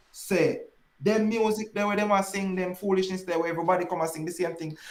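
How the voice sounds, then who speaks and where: A man talks at a very fast pace in a high pitch with a Jamaican accent. His tone is animated. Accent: Jamaican patois. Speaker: dancehall podcast host. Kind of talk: casual chat.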